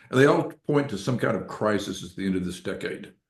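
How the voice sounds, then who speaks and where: A man's fairly low-pitched voice with ordinary pitch variation and audible room echo. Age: 70s. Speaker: financial author and newsletter publisher. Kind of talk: podcast interview. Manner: halting, many fillers.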